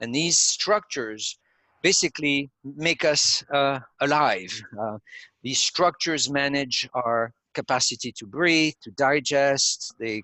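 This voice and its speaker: At a very slow pace, a man with a fairly high pitch speaks with ordinary pitch variation and big swings in loudness. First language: not English. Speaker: neuromarketing company founder. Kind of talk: interview explaining theory. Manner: hesitant with fillers.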